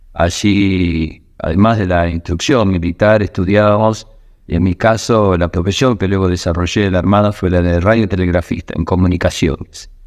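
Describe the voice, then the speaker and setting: A man's very deep, low voice in a Rioplatense accent, with fairly even intonation, very even loudness and a quiet background. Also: moderate pace. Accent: Argentine Rioplatense Spanish. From Argentina, southern Santa Fe (Villa Constitución). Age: 60s. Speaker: war veteran. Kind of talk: testimony. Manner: hesitant, with fillers.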